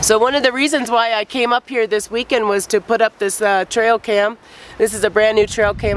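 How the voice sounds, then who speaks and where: The voice moves at a fairly quick pace. Noticeable background noise runs behind it. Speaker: outdoors vlogger. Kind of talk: casual talk to camera.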